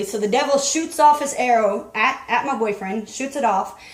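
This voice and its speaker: A woman talks at a high pitch with ordinary pitch variation. Audible room echo and noticeable background noise are present. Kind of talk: testimony. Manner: halting, repeats words.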